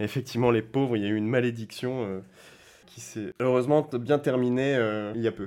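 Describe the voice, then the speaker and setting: A man's medium-pitched voice, dark and mellow in tone, at a moderate pace with fairly even intonation and big swings in loudness. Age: 30s. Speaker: classic car event competition manager. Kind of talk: interview. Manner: hesitant, many fillers and repetitions.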